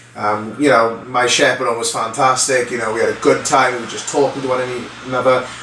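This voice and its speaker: Audible room echo and noticeable background noise surround a man speaking at a fairly quick pace. His medium-pitched delivery is monotone and flat. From Wales, the Valleys. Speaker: former reality TV contestant, training consultant. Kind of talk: casual vlog storytelling. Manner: conversational, filler-heavy.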